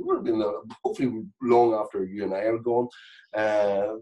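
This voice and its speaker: A Northern Irish accent against a quiet background. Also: man. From Northern Ireland. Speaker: comedian and actor. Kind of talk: podcast interview answer. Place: home room. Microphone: video call.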